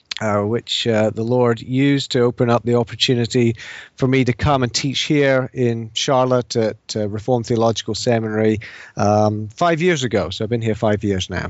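A British accent with fairly even intonation at a moderate pace. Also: man, medium pitch for a man. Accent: British, noticeable to US listeners. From England and Scotland (English parents, mostly Edinburgh). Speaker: professor of theology and philosophy. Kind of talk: interview on theology.

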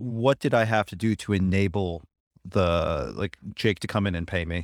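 In a plain, everyday voice, a man with an American accent speaks at a fairly low pitch with ordinary pitch variation, in a dry, close sound with no echo on a very clean recording with a silent background. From Buffalo, US. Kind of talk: casual interview.

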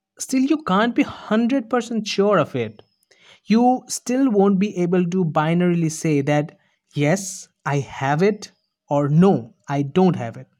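Here a man speaks very slowly. His intonation is lively. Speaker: podcaster. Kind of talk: scripted monologue. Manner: rehearsed.

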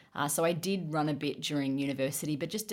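A woman with an Australian accent and a very deep, low pitch talks at a very fast pace. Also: very clean recording, silent background. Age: 30s. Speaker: running coach and podcast host. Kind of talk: casual chat.

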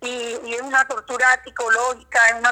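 Her voice is high-pitched. The speaker is a woman. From Colombian Caribbean, San Juan Nepomuceno (Bolívar). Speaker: human rights defender and lawyer. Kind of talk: interview. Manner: halting.

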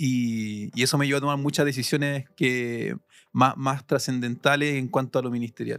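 A man speaks with a Chilean accent and fairly even intonation. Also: medium pitch for a man, moderate pace. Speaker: seminary student. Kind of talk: testimony. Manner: halting.

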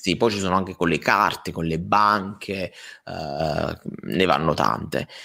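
With hardly any pauses, a man speaks very slowly in a very deep, low voice that has a bright, sharp tone and vocal fry, on a very clean recording with a silent background. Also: ordinary pitch variation. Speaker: podcast co-host. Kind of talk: casual chat. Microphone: new mic settings, audio being tested.

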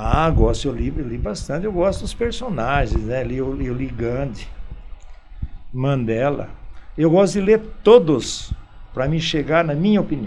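Amid noticeable background noise and audible room echo, a man speaks at a fairly slow pace with long, frequent pauses, his fairly high pitch swinging very widely. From Brazil, São Paulo state (Campinas/Indaiatuba). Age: 70s. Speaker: local shopkeeper and former athlete. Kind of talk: radio interview. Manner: halting, frequent repetitions.

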